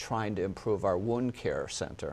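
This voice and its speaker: Fairly low in pitch, a man with a slight Minnesota accent talks with fairly even intonation. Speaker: hospital executive. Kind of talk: interview.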